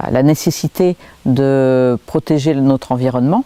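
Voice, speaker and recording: A woman's voice, very deep and low, with ordinary pitch variation. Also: dry, close sound with no echo. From southwest France, Pyrénées-Atlantiques near Pau. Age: 60s. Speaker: local politician. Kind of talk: interview. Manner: halting, many hesitations.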